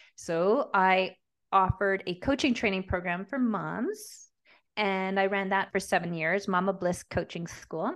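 Over a quiet background, a woman with a Canadian accent has an unremarkable speaking voice, speaking at a fairly slow pace and a medium pitch with ordinary pitch variation. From Montreal, Quebec. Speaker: business coach. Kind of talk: interview conversation.

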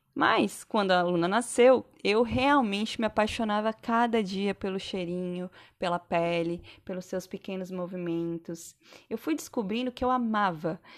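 A woman's normal speaking voice at medium pitch, with ordinary pitch variation and a fairly slow pace, on a very clean recording with a silent background. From Santa Catarina, southern Brazil. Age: 30s. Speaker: podcast host, physiotherapist and mother. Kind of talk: personal monologue podcast. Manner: casual, conversational.

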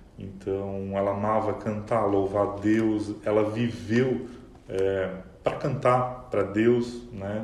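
Audible room echo surrounds a man speaking at a very slow pace, his fairly low voice in monotone, flat intonation. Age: 30s. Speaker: quality analyst, bereaved fiancé. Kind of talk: emotional testimony interview. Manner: calm.

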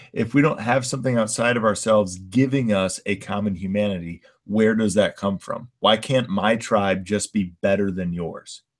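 On a very clean recording with a silent background, a man speaks at a moderate pace in an unremarkable speaking voice, fairly low in pitch, with ordinary pitch variation. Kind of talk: casual chat.

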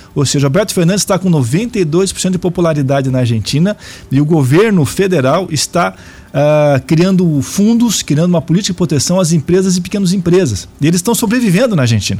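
Over noticeable background noise, a man talks at a fairly quick pace with hardly any pauses, his high voice lively in intonation while his loudness stays very even. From Brazil, Araraquara (São Paulo state). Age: 50s. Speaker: politician and university professor. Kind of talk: radio interview.

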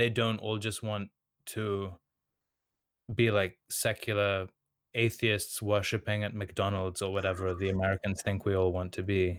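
A man with a Serbian accent speaks at a moderate pace in a fairly low voice with monotone, flat intonation, on a very clean recording with a silent background. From Sydney, Australia. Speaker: online content creator, artist.

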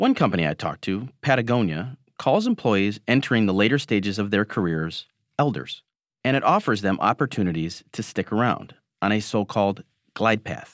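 In a plain, everyday voice, a man with an American accent speaks at a fairly quick pace and fairly low pitch with ordinary pitch variation, the sound dry and close with no echo on a very clean recording with a silent background. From Michigan. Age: 40s. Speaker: newspaper columnist. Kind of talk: scripted narration.

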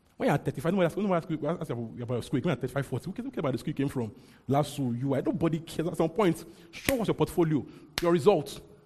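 Here a man talks at a very fast pace with lively intonation. His voice is fairly high-pitched, with a dark, mellow tone. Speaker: preacher. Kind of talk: sermon. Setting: church. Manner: fast talker.

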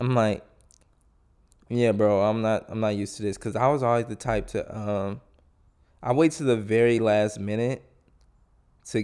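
A man's medium-pitched voice with a dark, mellow tone and long, frequent pauses, on a very clean recording with a silent background. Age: 20s. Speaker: solo podcaster. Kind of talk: casual monologue. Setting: home recording with headphones. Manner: informal, rambling with fillers.

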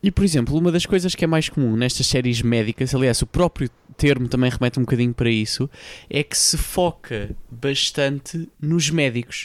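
A man speaks with a European Portuguese accent and ordinary pitch variation. The sound is dry and close, with no echo. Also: medium pitch for a man, moderate pace, very even loudness. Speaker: podcast host. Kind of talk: casual chat.

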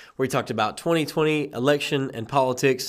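Fairly quick speech from a man with a normal speaking voice, medium pitch, and fairly even intonation, on a very clean recording with a silent background. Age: young. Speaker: podcast host. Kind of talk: casual chat.

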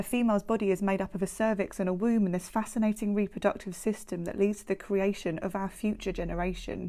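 Speaking at a very fast pace, a woman with a dark, mellow tone and medium pitch keeps a monotone, flat intonation while her loudness swings widely. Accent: British. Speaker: podcast host with MRKH sharing her story. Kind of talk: spoken word poetry, reflective and personal. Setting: podcast recording. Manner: measured, rhythmic, emotive poetic delivery.

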